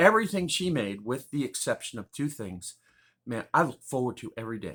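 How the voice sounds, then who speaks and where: Lively intonation and a bright, sharp tone. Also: man, very clean recording, silent background. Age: 60s. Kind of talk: personal testimony. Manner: casual, meandering.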